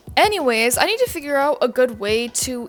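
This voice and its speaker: A woman at a high pitch and moderate pace, with music in the background. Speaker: commentary youtuber. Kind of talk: casual commentary monologue. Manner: casual, filler-heavy.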